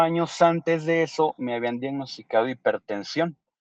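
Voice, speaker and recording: Speaking fairly slowly with a Mexican accent and lively intonation, the voice sounds dry and close, with no echo. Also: man. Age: 30s. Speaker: kidney transplant recipient. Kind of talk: interview testimony.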